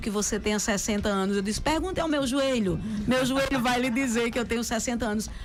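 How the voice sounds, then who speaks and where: A woman at a fairly high pitch with ordinary pitch variation, plus audible room echo and noticeable background noise. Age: 50s. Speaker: radio host. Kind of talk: casual chat. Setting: radio studio.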